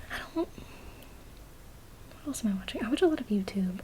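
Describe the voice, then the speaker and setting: A soft-spoken woman whispering, with noticeable background noise. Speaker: ASMR creator. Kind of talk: casual talk to camera, Q&A. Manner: soft-spoken, whispered.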